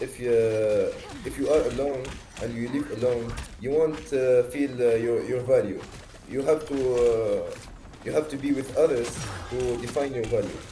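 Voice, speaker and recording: A man's medium-pitched voice at a moderate pace, with fairly even intonation and long, frequent pauses, audible room echo and music in the background. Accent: Tunisian. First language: Arabic. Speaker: stranger on video chat. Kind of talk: casual chat. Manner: halting, many hesitations.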